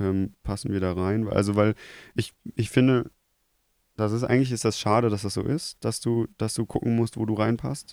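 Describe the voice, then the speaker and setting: At a moderate pace, a man speaks in a fairly low pitch with fairly even intonation on a very clean recording with a silent background. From Germany, Krefeld. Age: 20s. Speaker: TV media technician. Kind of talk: casual chat.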